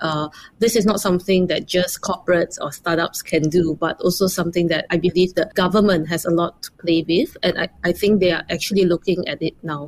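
At a fairly quick pace and with hardly any pauses, a woman talks in an ordinary speaking voice, her pitch fairly low and her intonation fairly even. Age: 40s. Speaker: startup founder and CEO. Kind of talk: interview.

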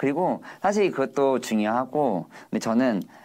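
At a fairly slow pace, the voice rises and falls in very wide pitch swings. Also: man. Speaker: hair designer. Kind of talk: casual interview chat. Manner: animated, talkative.

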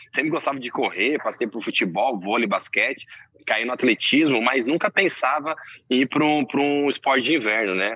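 A man with a medium-pitched voice and a bright, sharp tone speaks at a moderate pace with lively intonation. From Brazil, São Paulo state (Santo André). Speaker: bobsled pilot, Olympic athlete. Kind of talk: casual interview.

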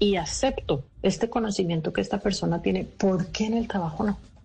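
A woman's somewhat breathy voice at a medium pitch, with lively intonation and a moderate pace. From Colombia. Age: 50s. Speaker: speaker on generational diversity and author. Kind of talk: radio interview.

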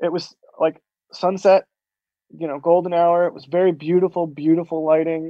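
A man talks in an American accent. His pitch is high. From Florida, US. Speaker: space photographer. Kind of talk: interview.

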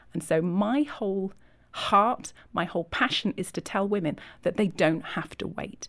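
Medium-pitched speech from a woman, very cleanly recorded against a silent background. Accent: Yorkshire. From Yorkshire, England. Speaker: ministry leader and author. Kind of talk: interview conversation.

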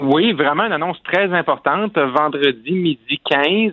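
A man speaks with a Lac-Saint-Jean accent and ordinary pitch variation. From Quebec, Lac-Saint-Jean (Roberval). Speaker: political commentator. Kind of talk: political analysis.

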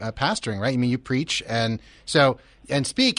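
Against a quiet background, a man with a plain, everyday voice talks at a fairly quick pace. He has an American accent and a medium pitch. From Philadelphia area. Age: 50s. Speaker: radio host. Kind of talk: casual chat. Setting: studio.

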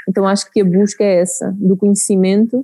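Her tone is dark and mellow, her pitch medium. This woman speaks at a moderate pace with monotone, flat intonation. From Portugal, Santarém region. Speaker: beekeeping project manager. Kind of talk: interview. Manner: halting.

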